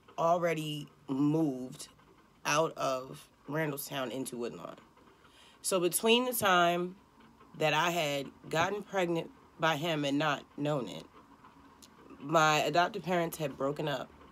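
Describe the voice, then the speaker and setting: With a Baltimore accent, a woman speaks at a fairly slow pace with long, frequent pauses. Her pitch is very deep and low, with ordinary variation. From Baltimore, Maryland. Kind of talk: personal life story told to camera.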